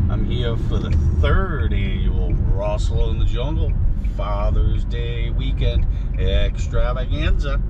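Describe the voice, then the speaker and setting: A man's voice in a dry sound with no echo, set against loud background noise. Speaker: camping vlogger. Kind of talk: casual vlog chat. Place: car.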